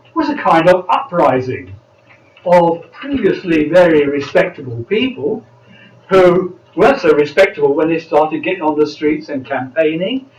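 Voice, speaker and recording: A man speaks at a moderate pace with a high pitch and very wide pitch swings. Music plays in the background. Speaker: political party speaker. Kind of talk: panel speech.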